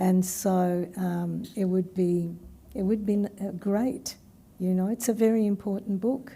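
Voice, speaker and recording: This woman's voice has a dark, mellow tone and is somewhat breathy. Her pitch is medium, with ordinary variation. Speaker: academic presenter. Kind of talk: q&a discussion after seminar.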